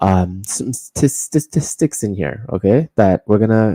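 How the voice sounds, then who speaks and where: A man talks at a moderate pace with fairly low pitch and lively intonation. His tone is dark and mellow, and the sound is dry and close with no echo. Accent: Canadian. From Canada, Toronto. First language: Korean. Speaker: political commentary streamer. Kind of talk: livestream commentary. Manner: casual, filler-heavy.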